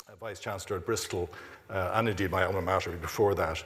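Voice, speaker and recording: A man with an Irish accent talks at a fairly quick pace, his fairly low voice somewhat breathy. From Ireland, Dublin. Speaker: university president. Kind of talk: closing remarks at a symposium. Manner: halting, many fillers and repeats.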